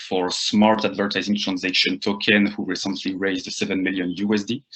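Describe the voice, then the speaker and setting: A man's fairly low voice with a French accent at a moderate pace. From France (Rennes, Brittany). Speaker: marketing agency founder. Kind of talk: lecture. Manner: halting, many fillers.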